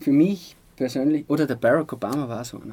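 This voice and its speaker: A man's dark, mellow voice at a fairly high pitch, with ordinary pitch variation. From Austria, Styrian Salzkammergut (Altaussee). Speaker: sports physician. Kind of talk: interview. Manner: hesitant, many fillers.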